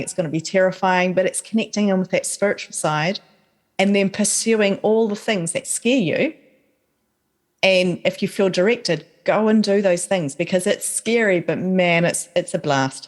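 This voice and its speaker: A woman with a New Zealand accent, medium in pitch, at a moderate pace, on a very clean recording with a silent background. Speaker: author and podcaster. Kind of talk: casual chat. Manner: animated.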